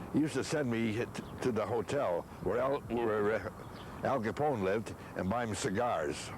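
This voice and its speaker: An American accent from a man at medium pitch, moderate pace and very even loudness, with noticeable background noise. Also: ordinary pitch variation. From Chicago. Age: 90s. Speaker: grandfather interviewed about family history. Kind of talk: oral history interview. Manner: halting with repetitions.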